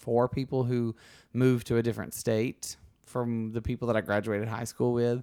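With a Southern US accent, a man speaks at a medium pitch and moderate pace, his dark, mellow tone flat and monotone on a very clean recording with a silent background. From US South, Alabama. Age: 30s. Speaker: podcast host. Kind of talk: casual interview chat.

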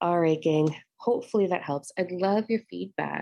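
Her tone dark and mellow, a woman speaks with lively intonation in a dry, close sound with no echo. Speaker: spiritual podcast host and meditation guide. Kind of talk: guided meditation. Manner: intense, energizing, building momentum.

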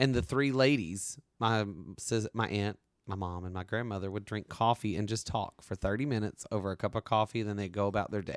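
Very clean, with a silent background, the recording is dry and close with no echo. A man with an American accent and a plain, everyday voice speaks at a fairly quick pace and a fairly low pitch, with ordinary pitch variation. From US South. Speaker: podcast host. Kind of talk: casual chat.

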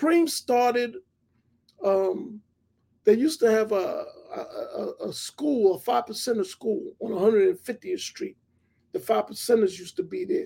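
Speaking with a New York accent, a man with an extremely high pitch and a dark, mellow tone moves at a fairly slow pace through very wide pitch swings, big swings in loudness and long, frequent pauses. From Hollis, Queens, New York City. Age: 50s. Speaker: TV producer. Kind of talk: interview.

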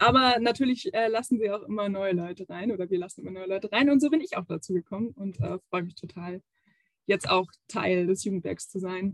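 A woman with an ordinary speaking voice talks at a medium pitch and fairly quick pace, with ordinary pitch variation. The sound is dry and close, with no echo. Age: 20s. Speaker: youth education officer. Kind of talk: interview.

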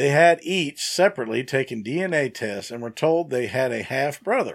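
In a normal speaking voice, a man talks at a moderate pace with a medium pitch and lively intonation. The recording is very clean, with a silent background. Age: 50s. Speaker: podcast co-host. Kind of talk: reading aloud; casual chat.

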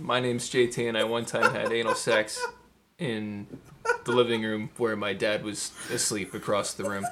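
With noticeable background noise, a man speaks at a moderate pace and medium pitch, using ordinary pitch variation. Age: 20s. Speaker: podcast co-host. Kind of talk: casual chat; tutorial.

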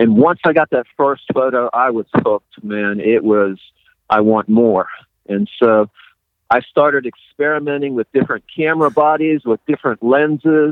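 Here is a man with a normal speaking voice at a medium pitch. He keeps a moderate pace with ordinary pitch variation. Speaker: ghost photographer and author. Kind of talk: casual interview chat.

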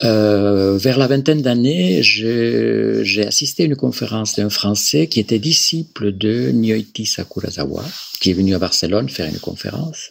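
Noticeable background noise sits behind the recording. A man speaks fairly slowly in a fairly low voice, his pitch swinging very widely. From Galicia, Spain. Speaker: clinical psychologist. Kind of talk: interview. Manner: halting, with many repetitions.

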